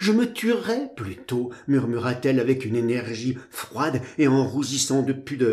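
A natural reading voice carries the clip.

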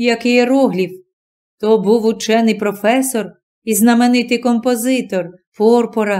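With a quiet background, a natural reading voice carries fairly even intonation.

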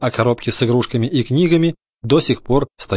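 Plain reading aloud comes with ordinary pitch variation over a quiet background.

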